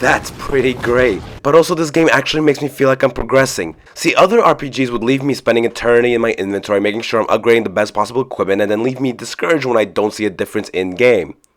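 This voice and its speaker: Amid noticeable background noise, a man with a medium pitch talks at a very fast pace with ordinary pitch variation. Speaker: video game reviewer. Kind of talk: game review narration. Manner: casual, profane.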